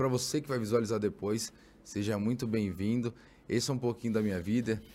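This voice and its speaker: Speaking at a fairly quick pace, a man with a fairly low pitch has an unremarkable speaking voice and fairly even intonation. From São Paulo, East Zone. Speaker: nurse and fitness trainer. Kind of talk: casual chat.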